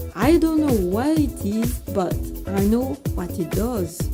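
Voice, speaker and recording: A woman talks very slowly. Music can be heard behind her. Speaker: voice actor. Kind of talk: TV commercial read.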